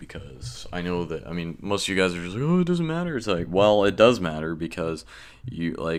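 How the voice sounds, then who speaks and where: A man with a very deep, low voice speaks at a fairly quick pace with ordinary pitch variation. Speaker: gaming YouTuber. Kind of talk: tutorial. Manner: casual, filler-heavy.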